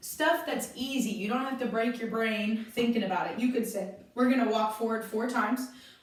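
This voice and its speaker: A woman talks at a moderate pace in a fairly high, animated voice. There is noticeable background noise and audible room echo. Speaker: dance teacher. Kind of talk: tutorial. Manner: loud.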